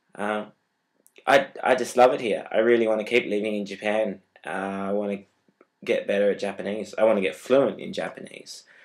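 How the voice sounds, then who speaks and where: A man with an Australian accent talks fairly quickly in a fairly low, monotone, flat voice, leaving long, frequent pauses. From Australia, Tasmania. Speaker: vlogger, exchange student. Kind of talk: casual vlog. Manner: hesitant, many fillers.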